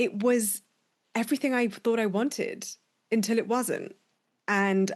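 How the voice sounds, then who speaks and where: A woman with a British accent at a moderate pace against a quiet background. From UK. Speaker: business coach, podcast host. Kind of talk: solo podcast monologue.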